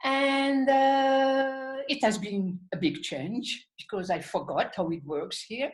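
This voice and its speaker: A woman with a French accent speaks at a very slow pace, her intonation lively. The recording is very clean, with a silent background. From French-speaking Switzerland. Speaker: artist and channeler. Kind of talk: interview.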